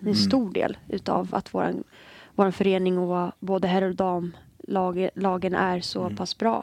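This woman has a plain, everyday voice at medium pitch. She speaks at a moderate pace. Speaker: football player. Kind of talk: casual chat.

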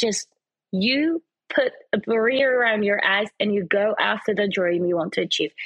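A woman's ordinary speaking voice, fairly high in pitch, at a moderate pace with lively intonation and very even loudness. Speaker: presenter and fashion model. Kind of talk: casual interview.

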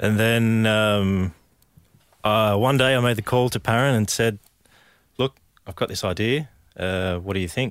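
With an Australian accent, a man speaks at a fairly low pitch, leaving long, frequent pauses. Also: ordinary pitch variation, fairly slow pace. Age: 30s. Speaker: business co-founder. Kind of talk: interview. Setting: studio.

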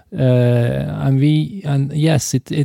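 A man's medium-pitched voice with a dark, mellow tone, ordinary pitch variation and a Norwegian accent, in a dry, close sound with no echo. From Norway. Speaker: film and TV director. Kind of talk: interview. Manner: halting, many repetitions.

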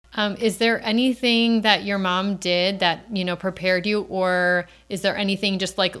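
A woman with an unremarkable speaking voice at a moderate pace, on a very clean recording with a silent background. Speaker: podcast host, mom. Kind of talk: casual interview chat.

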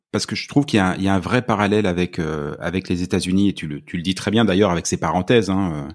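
Recorded very cleanly against a silent background, a man with a very deep, low voice talks at a fairly quick pace with lively intonation. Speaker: podcast host. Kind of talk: scripted narration; casual interview.

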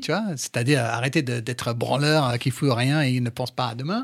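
At a moderate pace and medium pitch, a man with a slight English accent uses ordinary pitch variation in a very clean recording with a silent background. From England. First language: English (speaking French). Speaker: sports journalist and TV presenter. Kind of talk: casual interview. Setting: studio.

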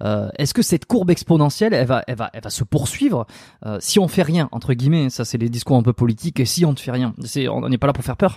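Recorded with a dry, close sound and no echo, a man speaks very fast in a medium pitch, his dark, mellow tone somewhat breathy and his intonation lively. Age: 30s. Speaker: osteopath and podcast host. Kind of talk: casual interview chat.

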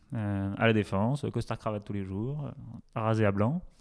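In a very clean recording with a silent background, a man speaks in an ordinary speaking voice at a medium pitch with ordinary pitch variation. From France, Touraine near Tours. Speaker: startup co-founder, entrepreneur. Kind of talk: casual interview chat.

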